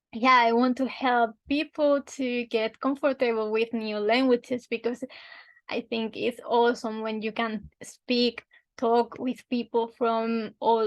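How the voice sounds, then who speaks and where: Delivered at a very slow pace, this voice has a monotone, flat intonation and a Spanish accent. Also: woman. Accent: Spanish (Spain) accent in English. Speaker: language teacher. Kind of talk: tutorial. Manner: halting.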